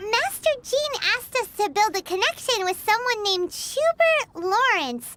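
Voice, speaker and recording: A squeaky, put-on character voice at an extremely high pitch runs on with hardly any pauses. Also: moderate pace. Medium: video game. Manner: curious.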